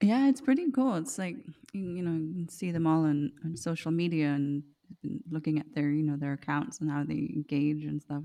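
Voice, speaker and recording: At a moderate pace, a woman speaks with a very deep, low pitch, a dark, mellow tone and lively intonation. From Denmark, Copenhagen. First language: Danish. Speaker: actress and voice artist. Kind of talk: casual chat. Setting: home studio.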